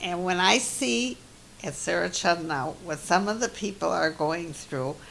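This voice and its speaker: A woman with a very deep, low pitch and a bright, sharp tone speaks at a fairly slow pace with vocal fry and very wide pitch swings. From US Midwest, Milwaukee Wisconsin. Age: 80s+. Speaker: interviewee, elderly mother. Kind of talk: family oral history interview. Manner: halting.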